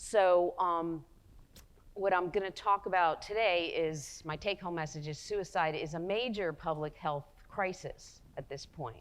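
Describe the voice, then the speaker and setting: A woman with a New Jersey accent, fairly low in pitch, with ordinary pitch variation and a fairly slow pace. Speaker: psychologist and researcher. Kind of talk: lecture.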